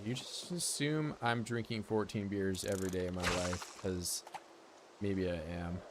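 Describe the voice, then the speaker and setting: Noticeable background noise behind a fairly slow male speaker with a fairly low pitch. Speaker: gaming streamer. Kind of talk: casual chat. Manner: monotone.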